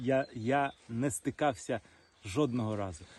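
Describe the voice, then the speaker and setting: Speaking very slowly, a man uses a medium pitch that varies in an ordinary way. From Crimea, Sevastopol. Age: 30s. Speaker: soldier. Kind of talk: interview. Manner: halting.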